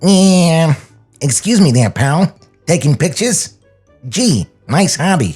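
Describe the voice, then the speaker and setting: A put-on character voice at middle pitch, fairly slow, with long, frequent pauses and faint music in the background. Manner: self-assured, slick.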